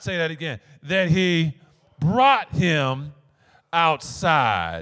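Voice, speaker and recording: A man delivers his words at a very slow pace, with a quiet background behind him. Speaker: pastor. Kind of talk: sermon. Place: church. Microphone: handheld.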